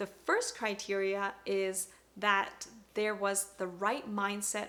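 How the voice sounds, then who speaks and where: A woman talks in a Canadian accent at a medium pitch. There is noticeable background noise behind her. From Canada (Toronto area), moved from Hong Kong at six. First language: Cantonese. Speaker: parenting vlogger. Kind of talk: vlog talk to camera.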